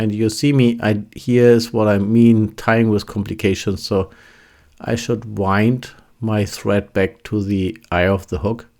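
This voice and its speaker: With a German accent, a man of fairly low pitch talks at a fairly slow pace with fairly even intonation. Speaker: fly tying instructor. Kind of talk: tutorial. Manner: halting, with fillers and restarts.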